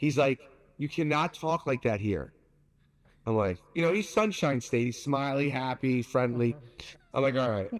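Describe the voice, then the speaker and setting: In a very clean recording with a silent background, a man with a New York accent speaks at a moderate pace. He leaves long, frequent pauses. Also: medium pitch for a man, lively intonation. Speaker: pizza maker. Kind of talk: casual interview. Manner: loud; animated.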